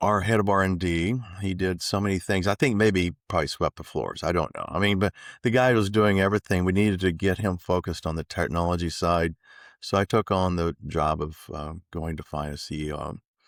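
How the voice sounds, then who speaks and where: At a fairly quick pace and with ordinary pitch variation, the speaker has an American accent, and the sound is dry and close with no echo on a very clean recording with a silent background. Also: man, very deep, low pitch for a man. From Texas. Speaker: tech company CEO. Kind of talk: interview. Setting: conference.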